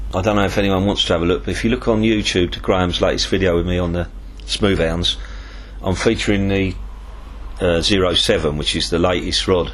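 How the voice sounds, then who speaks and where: A man with a southern English accent, very deep and low in pitch, talking fairly quickly with fairly even intonation, amid noticeable background noise and audible room echo. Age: 60s. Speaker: tackle shop owner and angler. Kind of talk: interview. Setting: tackle shop.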